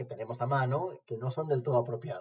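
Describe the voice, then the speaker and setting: A man speaks in a somewhat breathy voice. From Argentina, La Plata. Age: 40s. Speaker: philosophy lecturer. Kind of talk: interview testimony. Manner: formal.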